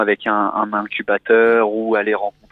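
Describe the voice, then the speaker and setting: A man is talking here. His pitch is medium. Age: 20s. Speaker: caller, corporate employee. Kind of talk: casual chat.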